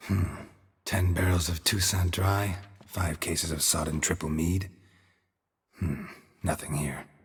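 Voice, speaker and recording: Putting on a character voice with very deep, low pitch, a man speaks at a fairly slow pace with long, frequent pauses. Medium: machinima. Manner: laconic, dry, deadpan.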